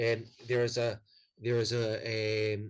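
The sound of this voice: The speaker uses an unforced reading voice over a quiet background.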